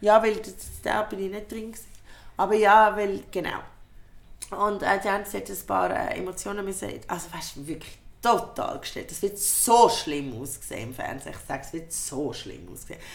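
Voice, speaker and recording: A woman with a Swiss accent speaks at medium pitch and a moderate pace, animated in tone with lively intonation, vocal fry and big swings in loudness, in audible room echo. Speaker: comedian and podcast host. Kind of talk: casual chat.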